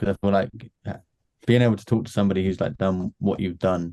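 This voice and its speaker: Speaking fairly quickly in a British accent, a man with a fairly low pitch and a dark, mellow tone keeps his intonation fairly even in a dry, close sound with no echo. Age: 20s. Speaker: marketing agency owner. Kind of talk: casual chat. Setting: video call.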